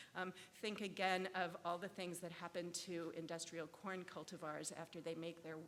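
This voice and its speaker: Flat, monotone intonation at a moderate pace. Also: woman, fairly low pitch for a woman. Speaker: law scholar, conference panelist. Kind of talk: conference presentation. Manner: hesitant, many fillers.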